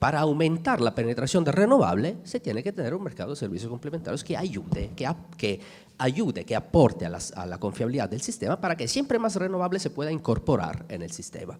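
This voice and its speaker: With an Italian accent, this voice shows very wide pitch swings and vocal fry. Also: man. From Italy. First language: Italian (speaking Spanish). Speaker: energy sector panelist. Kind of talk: conference panel talk. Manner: halting, many fillers and restarts.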